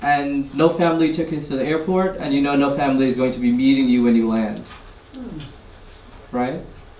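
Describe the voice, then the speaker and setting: Noticeable background noise sits behind a man talking at a fairly quick pace with lively intonation. He leaves long, frequent pauses. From Guyana. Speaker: community activist. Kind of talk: live personal storytelling. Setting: live audience event. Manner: conversational, casual.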